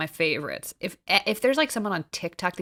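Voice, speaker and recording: In an American accent, a woman talks very fast, the sound dry and close with no echo, on a very clean recording with a silent background. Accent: slight New Jersey, slips in. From New Jersey. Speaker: podcast co-host. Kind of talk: casual chat.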